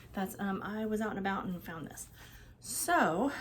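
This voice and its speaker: A somewhat breathy woman's voice, fairly high in pitch. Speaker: vintage collector vlogger. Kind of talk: casual haul vlog. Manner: fast; animated.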